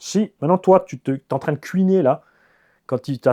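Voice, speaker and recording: In a dry, close recording with no echo and a quiet background, a man speaks with a dark, mellow tone and ordinary pitch variation. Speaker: RC car YouTuber. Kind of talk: casual monologue. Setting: home garage. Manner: animated.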